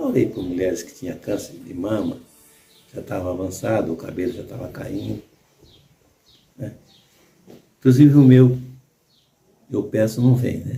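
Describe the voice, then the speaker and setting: A soft-spoken man's fairly low voice at a moderate pace, with ordinary pitch variation, big swings in loudness, long, frequent pauses, and music in the background. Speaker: church elder. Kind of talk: sermon. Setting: small bedroom at home.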